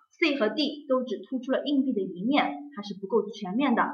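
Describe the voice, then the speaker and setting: With audible room echo, a woman speaks at a moderate pace and a high pitch. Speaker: exam prep teacher. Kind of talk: lecture.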